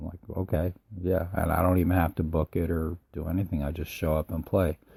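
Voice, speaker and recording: The voice is dark, mellow and somewhat breathy, with monotone, flat intonation at a fairly quick pace. The sound is dry and close with no echo, on a very clean recording with a silent background. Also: man, very deep, low pitch for a man. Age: 60s. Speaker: musician and podcaster. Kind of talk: casual monologue. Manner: halting, with many fillers.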